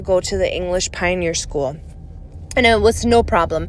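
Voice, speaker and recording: A woman with a European accent speaks at a moderate pace. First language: non-English European language. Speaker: ex-Jehovah's Witness video creator. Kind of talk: personal storytelling monologue. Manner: casual, conversational.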